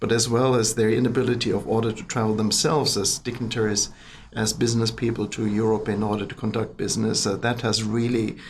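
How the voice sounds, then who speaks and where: A man talks at a very fast pace in a somewhat breathy voice of medium pitch. His intonation is monotone and flat. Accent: German. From Germany. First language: German. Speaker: business chamber president. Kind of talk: podcast interview. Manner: hesitant, many fillers.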